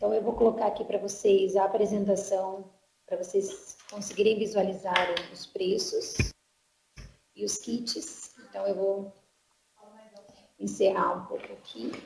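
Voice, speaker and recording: Fairly slow speech from a woman, broken by long, frequent pauses. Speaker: marketing staff presenting products. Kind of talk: online sales presentation. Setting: online webinar.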